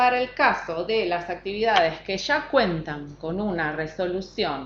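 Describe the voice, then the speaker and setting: A woman with an unremarkable speaking voice, at a fairly slow pace and with lively intonation. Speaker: government environmental technician. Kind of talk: technical talk.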